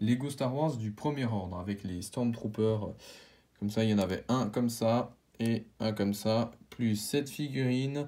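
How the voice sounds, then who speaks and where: With a dark, mellow tone, a man speaks at medium pitch and with ordinary pitch variation. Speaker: YouTuber, toy collector. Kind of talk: collection showcase video. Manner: halting, many fillers.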